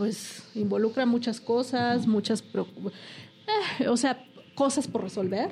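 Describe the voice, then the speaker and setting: A woman with a fairly high pitch talks amid noticeable background noise, her pitch varying in an ordinary way. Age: 40s. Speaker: lawyer. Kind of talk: casual interview.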